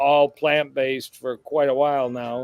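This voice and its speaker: A man with a fairly high voice speaks in a flat monotone, the sound dry and close with no echo, while music plays in the background. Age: 60s. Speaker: cardiologist. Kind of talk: casual chat.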